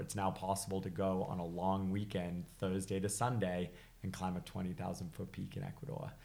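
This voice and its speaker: A man with a very deep, low pitch and a slight British accent. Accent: slight British trace in American speech. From England, then Massachusetts from age six. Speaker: high altitude climber and skier. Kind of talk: casual interview chat.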